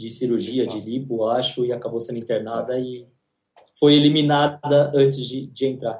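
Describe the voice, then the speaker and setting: Here is a man with a plain, everyday voice. His pitch is medium and his pace moderate. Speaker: entertainment podcast co-host. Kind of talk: casual chat.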